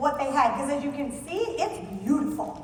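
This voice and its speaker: Speaking at a fairly quick pace, a woman with a high pitch and an animated tone is heard amid noticeable background noise and audible room echo. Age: 40s. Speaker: conference speaker, wedding venue sales expert. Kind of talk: conference presentation. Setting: stage with audience. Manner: very fast.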